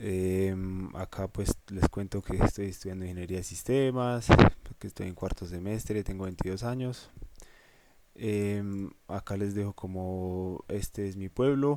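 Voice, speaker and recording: A man talks at a fairly slow pace, with fairly even intonation. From Colombia, Boyacá (Cucaita). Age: 20s. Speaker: university student teaching a course. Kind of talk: lecture. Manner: halting, many fillers.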